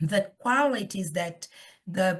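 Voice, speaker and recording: A woman speaks in a Portuguese accent at a very slow pace. Her medium-pitched voice is somewhat breathy, with ordinary pitch variation. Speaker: professor. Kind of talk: lecture. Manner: hesitant, with fillers.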